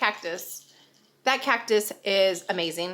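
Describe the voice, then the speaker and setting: A woman speaks at a very slow pace. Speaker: vlogger, military wife and mom. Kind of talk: casual vlog talk to camera. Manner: chatty, filler words.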